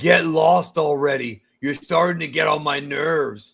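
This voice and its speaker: A man puts on a character voice that is raspy and fairly high-pitched. He speaks at a moderate pace. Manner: gruff, proud, irritated.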